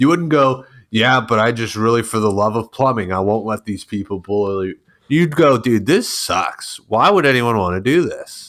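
An ordinary speaking voice with an American accent, moderate pace and ordinary pitch variation, on a very clean recording with a silent background. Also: man, medium pitch for a man. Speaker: online troll. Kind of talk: casual banter. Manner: joking, sarcastic, profane.

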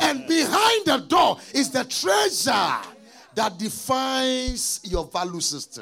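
Shouting at an extremely high pitch with very wide pitch swings, a man goes at a fairly slow pace over music in the background. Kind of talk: sermon. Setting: church conference with live audience. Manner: loud, rhythmic, call-and-response, urging the crowd to shout; fiery, rising and falling, rhyming punchlines, prophetic.

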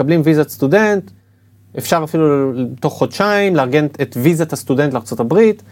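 With an unremarkable speaking voice, a man talks at a fairly high pitch and moderate pace, lively in intonation and very even in loudness. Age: 40s. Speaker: admissions consultant. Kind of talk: interview.

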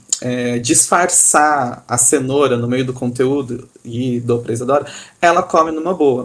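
A man's medium-pitched voice, a normal speaking voice, at a fairly slow pace with ordinary pitch variation. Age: 30s. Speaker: theatre company co-founder, architect. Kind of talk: casual chat.

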